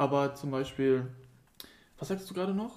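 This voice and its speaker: A man's somewhat breathy voice, fairly high in pitch, dark and mellow in tone, with ordinary pitch variation. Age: 20s. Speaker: podcast co-host. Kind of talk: casual chat.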